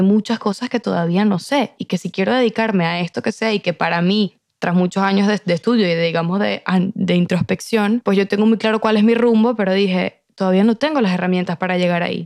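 A woman talks at a fairly quick pace in a plain, everyday voice of medium pitch, her intonation fairly even, with a dry, close sound, no echo, and a very clean recording over a silent background. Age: 20s. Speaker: podcast guest. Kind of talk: casual chat.

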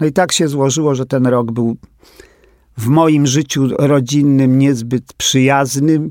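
A man talks at a very slow pace with a fairly high pitch. The sound is dry and close with no echo, and his intonation is fairly even. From Poland, Warsaw. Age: 80s+. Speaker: drag queen. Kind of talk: interview.

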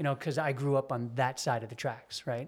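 A man uses a normal speaking voice at a medium pitch, moving at a moderate pace with fairly even intonation. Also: very clean recording, silent background. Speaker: motorcycle rider. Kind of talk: casual interview.

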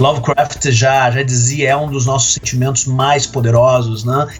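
With music playing in the background, a man talks at a fairly slow pace in a medium pitch. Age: 30s. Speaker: literature professor and author. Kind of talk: casual chat. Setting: remote call.

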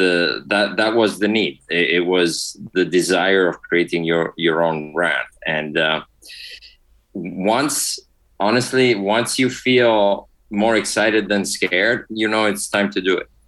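Speaking with an Italian accent, a man with a fairly low pitch goes at a very slow pace with ordinary pitch variation. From Italy. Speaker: spirits industry executive. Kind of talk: casual interview.

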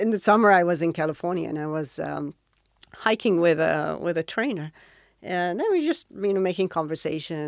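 A woman with an Arabic accent speaks at a fairly quick pace. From Saudi Arabia, Riyadh. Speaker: triathlete and dentist. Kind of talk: interview.

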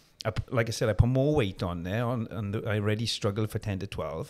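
With a South Wales accent, a man talks at a fairly quick pace with ordinary pitch variation on a very clean recording with a silent background. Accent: South Wales valleys. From South Wales, Merthyr Tydfil. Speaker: personal trainer and former bodybuilder. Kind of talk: interview conversation.

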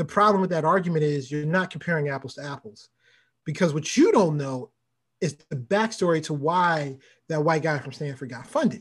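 At a fairly quick pace, a man with an American accent talks in a normal speaking voice, his pitch fairly high with ordinary pitch variation and big swings in loudness. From US, Baltimore. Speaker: venture capitalist. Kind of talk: interview.

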